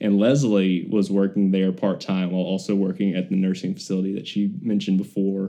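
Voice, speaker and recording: Talking at a fairly quick pace, a man with an Alabama accent has a fairly low, dark, mellow voice and monotone, flat intonation. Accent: US South (Alabama). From Birmingham, Alabama. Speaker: former professional baseball player. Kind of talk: personal testimony interview.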